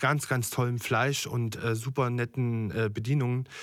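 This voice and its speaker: The recording is very clean and the background silent. A man's voice sits at a medium pitch. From Germany, Thuringia. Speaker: chef. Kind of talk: interview. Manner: hesitant, many fillers.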